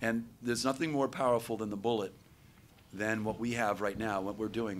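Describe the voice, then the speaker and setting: A man uses an ordinary speaking voice at medium pitch with ordinary pitch variation. He moves at a fairly quick pace. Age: 60s. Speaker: panel moderator. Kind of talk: panel discussion.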